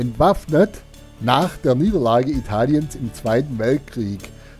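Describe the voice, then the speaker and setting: Music plays in the background as a man speaks at a very slow pace. His intonation is lively. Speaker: motorcycle tourer. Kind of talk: casual talk to camera while riding. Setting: outdoors, helmet intercom mic.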